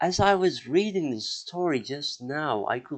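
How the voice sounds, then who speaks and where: With lively intonation and a non-native accent, a man speaks at a fairly slow pace. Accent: non-native English, mispronunciations. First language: not English; outside Indo-European group. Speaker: history podcaster. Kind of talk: podcast monologue. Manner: hesitant, many filler words.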